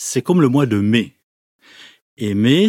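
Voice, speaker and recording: Recorded very cleanly against a silent background, a man talks at a very slow pace in a dark, mellow tone. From Switzerland, Neuchâtel. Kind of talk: testimony.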